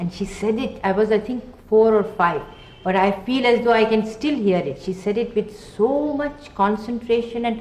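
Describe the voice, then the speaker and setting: This woman's speech is fairly slow, its pitch varying in an ordinary way. Her voice carries audible room echo. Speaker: interviewee. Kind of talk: interview answer. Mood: warm, fond reminiscence. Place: home room.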